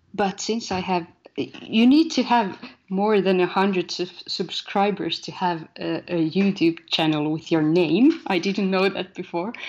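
Her pitch medium and its variation ordinary, a woman speaks with a Finnish accent. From Finland. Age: 30s. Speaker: poet, musician and filmmaker. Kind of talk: interview. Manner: halting.

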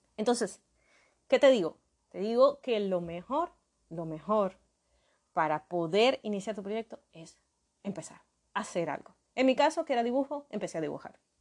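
A woman with a medium pitch speaks at a moderate pace, with very wide pitch swings, big swings in loudness and long, frequent pauses. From Venezuela, Maracaibo (Zulia). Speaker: podcast host, graphic designer. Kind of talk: solo podcast monologue. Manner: hesitant, many fillers and repetitions.

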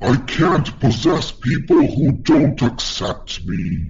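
Growling through a put-on character voice at a very slow pace, the speaker is heard over clear background noise. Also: man, medium pitch for a man.

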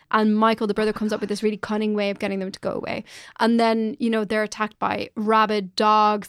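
A woman speaks fairly quickly with an Irish accent and a fairly high pitch. The sound is dry and close with no echo, in a very clean recording with a silent background. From Ireland. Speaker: journalist and podcast co-host. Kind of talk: casual chat.

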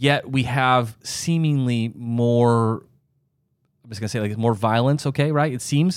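A man with an unremarkable speaking voice and an American accent speaks at medium pitch and a fairly slow pace with ordinary pitch variation, in a very clean recording with a silent background. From US Midwest, Sioux Falls, South Dakota. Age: 40s. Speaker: doctor and podcast host. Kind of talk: casual chat.

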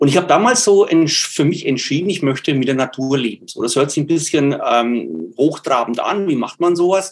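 Lively intonation from a man at fairly high pitch, moderate in pace with hardly any pauses. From Lower Franconia, northern Bavaria (near Würzburg). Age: 60s. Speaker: nature educator and self-sufficiency gardener. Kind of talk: webinar talk answering questions. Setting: online webinar.

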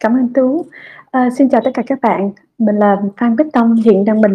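The speaker has an unremarkable speaking voice at a moderate pace. Pitch varies in an ordinary way. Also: woman. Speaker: company executive and startup founder. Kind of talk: online fireside chat talk.

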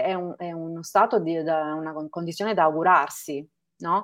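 Background music plays as a woman talks. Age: 50s. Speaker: naturopath. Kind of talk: casual chat. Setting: live stream.

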